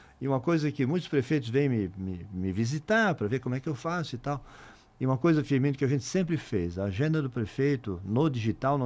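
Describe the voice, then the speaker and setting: A man's medium-pitched, normal speaking voice, fairly quick in pace, with lively intonation. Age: 60s. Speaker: mayor. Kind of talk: interview.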